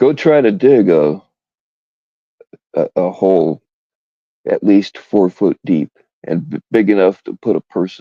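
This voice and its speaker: Recorded in a dry, close sound with no echo, a man with fairly low pitch and a dark, mellow tone speaks at a fairly slow pace, with very wide pitch swings, big swings in loudness and long, frequent pauses. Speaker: live streamer. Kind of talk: casual live stream chat. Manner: mumbling.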